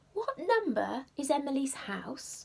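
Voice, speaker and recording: A put-on character voice, high in pitch, delivered at a fairly slow pace. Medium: read story.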